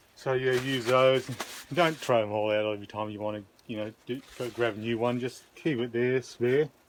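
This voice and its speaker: Noticeable background noise accompanies a man speaking at a moderate pace and medium pitch with fairly even intonation. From Australia. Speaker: video blogger. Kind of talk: cooking tutorial. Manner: casual, hesitant.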